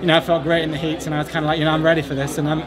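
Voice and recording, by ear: Talking very fast with little pitch movement, a man with an American accent uses a fairly high pitch over clear background noise and clear crowd noise.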